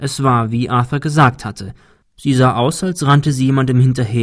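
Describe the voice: Plain reading aloud with fairly even intonation comes through over a quiet background.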